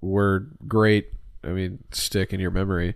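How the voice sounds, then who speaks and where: Slow-paced and monotone with flat intonation, a man speaks at a fairly low pitch. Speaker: comedian. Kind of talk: casual interview chat.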